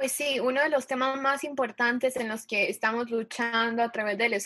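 Bright and sharp in tone, a woman speaks at a fairly high pitch. She keeps her intonation fairly even. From Ecuador. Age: 20s. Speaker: student climate activist. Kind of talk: panel discussion.

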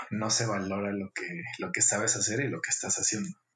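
A man with a Mexican accent, music in the background. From Mexico, Guadalajara, Jalisco. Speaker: architect. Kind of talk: interview. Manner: halting, with frequent repetitions.

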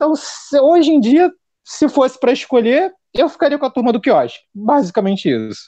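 With an extremely high pitch, a man speaks at a moderate pace. His tone is dark and mellow, with ordinary pitch variation. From Realengo, Rio de Janeiro, Brazil. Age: 30s. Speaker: YouTube football channel host. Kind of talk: casual chat.

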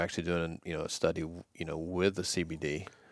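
In a Southern US accent, a man speaks with a very deep, low pitch. His intonation is fairly even, on a very clean recording with a silent background. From US South, Georgia. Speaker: former college quarterback and business executive. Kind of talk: casual interview. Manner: halting, many fillers.

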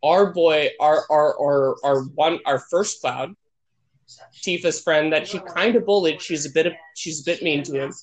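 A man with a normal speaking voice, fairly high in pitch, ordinary pitch variation, at a fairly slow pace. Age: 20s. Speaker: sketch comedian, podcast co-host. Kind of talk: casual chat. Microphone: connection cutting out.

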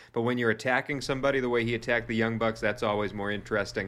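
A man's animated voice in a Boston accent, bright and sharp in tone, against a quiet background. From US Northeast, Boston. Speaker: wrestling podcast co-host. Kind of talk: casual chat.

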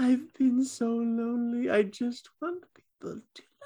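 A man whispers in a put-on character voice, keeping a fairly slow pace. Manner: whispering, wistful and lonely.

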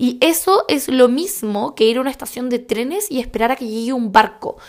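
A woman speaks with a Chilean accent at a moderate pace. Her pitch variation is ordinary. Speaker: podcast host and skincare blogger. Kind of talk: casual monologue.

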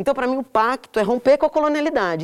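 A woman speaking at a very fast pace on a very clean recording with a silent background. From São Paulo, Brazil. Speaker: artist and interviewee. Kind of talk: casual interview conversation. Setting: in-person recording at a cultural centre.

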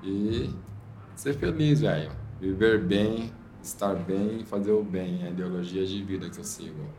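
A man with a fairly low pitch speaks at a fairly slow pace amid audible room echo. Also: ordinary pitch variation. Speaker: graffiti artist and visual artist. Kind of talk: casual interview chat.

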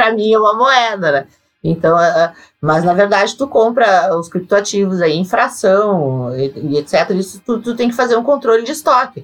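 With very wide pitch swings, a woman talks at a medium pitch and a moderate pace. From Brazil, Rio Grande do Sul. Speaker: accountant and crypto tax expert. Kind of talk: interview. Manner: hesitant, many fillers.

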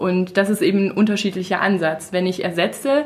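A woman with a medium pitch talks in a plain, everyday voice. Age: 30s. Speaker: natural cosmetics entrepreneur. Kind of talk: casual chat.

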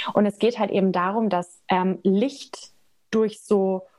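Delivered with fairly even intonation, this is a plain, everyday voice. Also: woman. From Germany, Nuremberg (Franconia). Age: 20s. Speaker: energy healer. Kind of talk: casual interview chat.

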